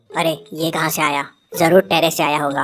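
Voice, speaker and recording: A woman puts on a cartoonish character voice with a very deep, low pitch. She talks fairly quickly while faint music plays in the background. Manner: thinking aloud.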